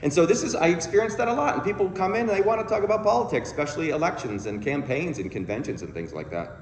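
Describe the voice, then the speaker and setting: Talking at a very fast pace with hardly any pauses, a man uses a high pitch with very wide swings, recorded with audible room echo and noticeable background noise. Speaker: counselor and guest speaker. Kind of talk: sermon. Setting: church.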